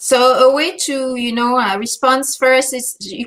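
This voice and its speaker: With a French accent, a woman speaks at a fairly slow pace in a high pitch. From France. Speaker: language teacher and speaking coach. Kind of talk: webinar Q&A. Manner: halting, many fillers.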